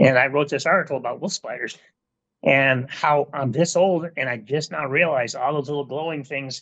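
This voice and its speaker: A man speaks at a moderate pace in a plain, everyday voice, pitched fairly high. The sound is dry and close, with no echo. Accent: American. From Southern Michigan. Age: 60s. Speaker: retired hunting safety instructor. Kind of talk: podcast interview.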